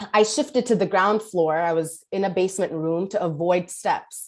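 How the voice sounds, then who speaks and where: Speaking with a New York accent, a woman keeps a medium pitch, ordinary pitch variation and a moderate pace. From New York City (Kensington, Brooklyn). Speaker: politician. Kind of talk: speech.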